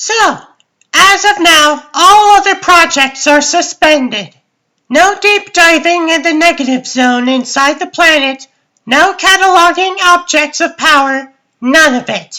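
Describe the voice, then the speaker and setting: A woman uses a put-on character voice with extremely high pitch. She talks at a fairly slow pace with ordinary pitch variation. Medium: fan dub. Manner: theatrical, bossy.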